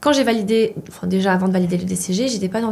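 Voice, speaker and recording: Over noticeable background noise, a woman with a medium-pitched voice talks at a very fast pace. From Poland. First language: Polish (speaking French). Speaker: chartered accountant, student association president. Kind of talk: interview.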